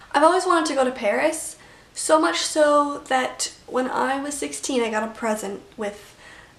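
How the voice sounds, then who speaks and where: A woman with a high voice talks at a moderate pace over noticeable background noise. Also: lively intonation. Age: 20s. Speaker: vlogger. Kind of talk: casual chat. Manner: mumbling.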